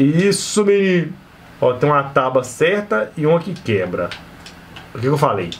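Somewhat breathy and fairly high-pitched, a man speaks at a fairly slow pace with very wide pitch swings. Long, frequent pauses break up his speech over light background noise. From Brazil. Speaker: gaming youtuber; gaming streamer. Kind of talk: gameplay commentary. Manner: animated.

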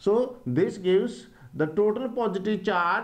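Intonation is lively here. The speaker is a man. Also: quiet background. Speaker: teacher. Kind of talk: lecture. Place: classroom. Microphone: lapel.

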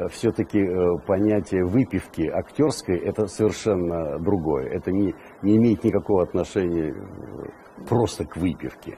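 Against light background noise, a man with a very deep, low voice speaks at a moderate pace, using ordinary pitch variation and long, frequent pauses. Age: 70s. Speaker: actor. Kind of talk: interview answer. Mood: warm, amused, reminiscing. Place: studio. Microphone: lapel.

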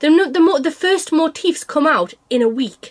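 A woman with a northern English accent at a moderate pace, her pitch swinging very widely. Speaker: cross-stitch vlogger. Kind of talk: casual chat.

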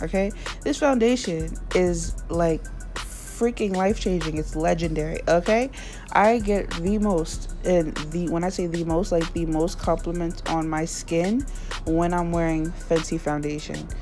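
A woman talks at a fairly slow pace as clear music plays in the background. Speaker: beauty vlogger. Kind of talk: casual talk to camera. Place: home room. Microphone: phone near.

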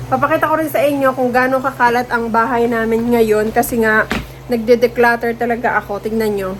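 Against noticeable background noise, a woman speaks fairly quickly at a fairly high pitch with an animated tone. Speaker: vlogger. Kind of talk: casual vlog talk to viewers.

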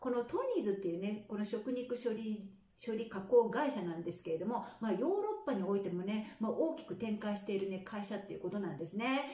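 Audible room echo surrounds a woman's voice. She talks at a fairly quick pace with lively intonation. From Japan. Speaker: nurse and health vlogger. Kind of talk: casual vlog news commentary. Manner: conversational, many fillers. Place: home room.

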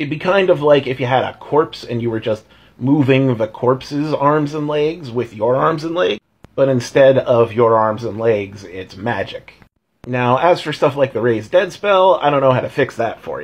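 A man's voice comes across somewhat breathy. He keeps a moderate pace. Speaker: tabletop game commentator. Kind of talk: casual vlog chat. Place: home room. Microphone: phone near.

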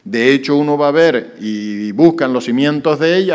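Lively intonation marks a man's voice, pitched fairly high. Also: quiet background. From Canary Islands. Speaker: mayor. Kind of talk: press conference. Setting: press conference with journalists. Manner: hesitant, many fillers. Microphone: podium.

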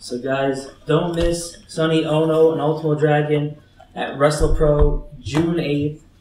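Over music in the background, a man speaks very slowly in a monotone, flat delivery at a fairly high pitch. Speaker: podcast host. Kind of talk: casual interview.

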